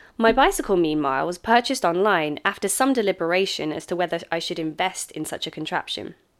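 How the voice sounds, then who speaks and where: Speaking very fast with hardly any pauses, a woman uses lively intonation at a medium pitch on a very clean recording with a silent background. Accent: British. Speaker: English teacher living abroad, memoir narrator. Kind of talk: reading aloud own memoir. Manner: formal.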